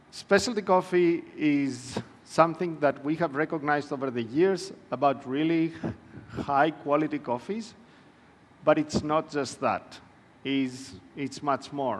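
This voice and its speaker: A man speaks with a Greek accent at a fairly high pitch. His pace is fairly slow and his pitch variation ordinary. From Greece. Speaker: panel moderator. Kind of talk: conference presentation. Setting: conference room with audience.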